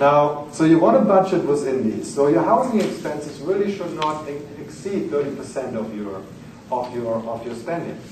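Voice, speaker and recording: A man with a German accent speaks at a moderate pace in a fairly high pitch, his voice swinging very widely up and down, with audible room echo and noticeable background noise. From Germany. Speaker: finance lecturer. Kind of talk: lecture.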